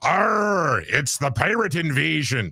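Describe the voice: A man uses a put-on character voice with a fairly high pitch. He talks at a fairly slow pace.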